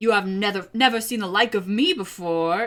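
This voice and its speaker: A woman's put-on character voice at a moderate pace, medium in pitch. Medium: read story. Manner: hearty, genial.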